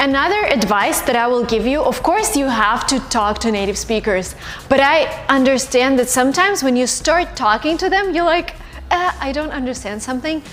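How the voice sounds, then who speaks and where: A Russian accent at a moderate pace with lively intonation, music in the background. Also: woman, high pitch for a woman. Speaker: YouTuber and English-learning coach. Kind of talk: vlog-style advice talk. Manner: animated, conversational.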